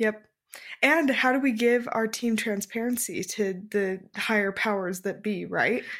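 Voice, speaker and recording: A woman with an ordinary speaking voice speaks at a fairly slow pace, her fairly high pitch showing ordinary pitch variation. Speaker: podcast co-host, design professional. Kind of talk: casual chat.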